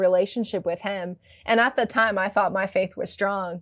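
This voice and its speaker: A woman speaks in a flat monotone with an American accent, her pitch medium. The recording is very clean, with a silent background. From US Midwest, suburban Ohio. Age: 30s. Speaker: missionary, ministry founder. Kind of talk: interview conversation. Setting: recording from home.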